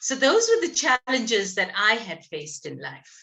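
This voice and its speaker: Speaking very slowly, a woman with a bright, sharp tone and vocal fry uses a fairly high pitch with very wide pitch swings. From South Africa, Pietermaritzburg (KwaZulu-Natal). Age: 60s. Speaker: speaker on communication skills. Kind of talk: talk at a networking event. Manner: formal, precise diction.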